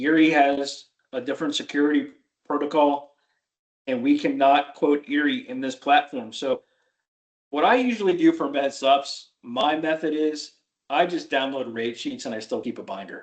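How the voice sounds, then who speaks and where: In a normal speaking voice, a man talks at a moderate pace. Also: fairly high pitch for a man, ordinary pitch variation. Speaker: Medicare insurance agent trainer. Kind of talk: training tutorial on a video call.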